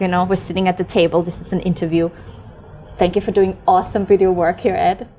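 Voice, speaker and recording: A woman talks in an animated tone. Noticeable background noise sits behind her. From Austria, Vienna. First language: German. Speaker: podcast host and mentor. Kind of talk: interview. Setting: sitting at a table, filmed interview.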